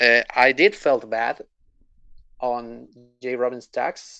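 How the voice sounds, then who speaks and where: A man's very slow, bright, sharp voice at a medium pitch, in a non-native accent. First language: not English. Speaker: gamer, guest interviewee. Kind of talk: interview. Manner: halting.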